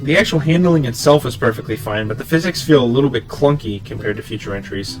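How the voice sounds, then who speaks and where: Music plays behind a man talking at a very fast pace. His intonation is lively. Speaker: game reviewer. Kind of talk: video game review narration.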